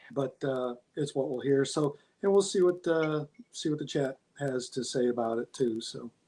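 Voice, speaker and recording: A man speaks with an American accent in a dark, mellow tone. His pitch varies in an ordinary way at a moderate pace. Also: fairly high pitch for a man. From central Massachusetts. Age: 60s. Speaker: navy veteran. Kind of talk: interview.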